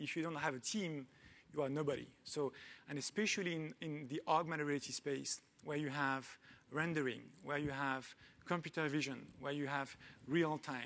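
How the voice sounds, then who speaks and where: With a French accent, the speaker keeps a moderate pace and fairly even intonation, broken by long, frequent pauses. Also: man, fairly high pitch for a man. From France. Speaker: tech company founder and CEO. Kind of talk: panel talk. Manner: hesitant with many fillers.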